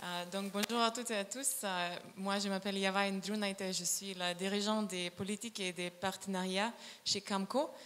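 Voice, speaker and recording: A woman talks at a moderate pace and medium pitch with monotone, flat intonation. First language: not French (speaking French). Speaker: climate fund policy lead. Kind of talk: panel presentation. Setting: stage with audience. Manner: halting.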